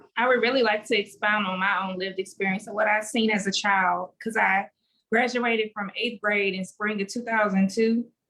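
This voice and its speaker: Speaking at a moderate pace, a woman with a Louisiana accent keeps a monotone, flat intonation. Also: fairly high pitch for a woman. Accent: US Southern (Louisiana). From Louisiana, Lake Charles. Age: 30s. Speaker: education activist. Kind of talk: panel discussion. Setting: video call.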